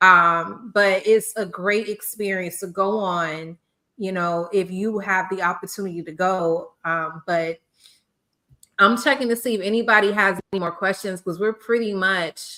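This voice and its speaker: At a fairly slow pace, a woman speaks at a medium pitch in a bright, sharp tone with fairly even intonation. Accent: American. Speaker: podcast host, former teacher. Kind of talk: casual chat. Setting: live stream podcast.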